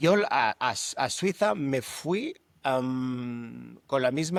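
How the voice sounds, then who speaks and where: This man talks at a medium pitch. The recording is very clean, and the background is silent. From Catalonia, Spain. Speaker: entrepreneur. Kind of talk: casual chat. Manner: halting.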